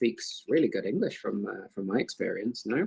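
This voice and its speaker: A man talks with a British accent. His pace is fairly quick. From UK. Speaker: crypto community moderator, chat host. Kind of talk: casual group voice chat. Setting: online voice chat. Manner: halting, many fillers and repeats.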